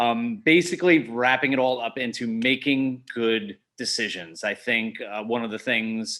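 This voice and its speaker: Loud and bright with a sharp tone, the voice speaks in a New York accent at a moderate pace on a very clean recording with a silent background. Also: man, medium pitch for a man, ordinary pitch variation, hardly any pauses. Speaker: skydiving instructor. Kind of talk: seminar presentation.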